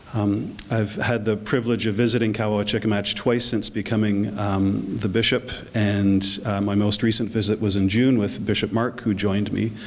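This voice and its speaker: Flat and monotone, a man with a fairly low pitch talks at a moderate pace and very even loudness, with noticeable background noise. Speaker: bishop. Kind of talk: short address to a gathering. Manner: hesitant, many fillers.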